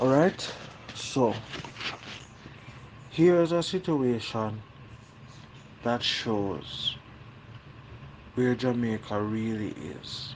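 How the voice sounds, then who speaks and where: A man's medium-pitched voice at a very slow pace, long, frequent pauses and lively intonation amid noticeable background noise. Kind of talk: podcast monologue.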